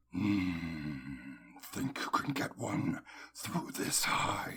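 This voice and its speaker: Growling in a put-on character voice, a man speaks at a very slow pace, his fairly low pitch making very wide swings. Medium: audio drama. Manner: menacing, sardonic.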